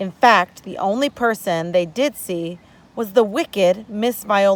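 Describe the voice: This plain reading aloud has ordinary pitch variation.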